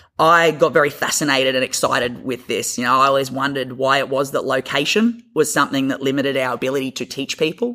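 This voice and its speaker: A man with an Australian accent talks at a very fast pace with hardly any pauses. His fairly high voice has a bright, sharp tone and ordinary pitch variation. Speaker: physiotherapist. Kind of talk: interview.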